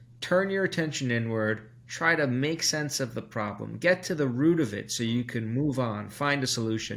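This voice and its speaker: A man with a medium pitch talks at a moderate pace. He hardly pauses at all. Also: lively intonation. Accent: American. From New York, Brooklyn. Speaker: psychology professor. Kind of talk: interview.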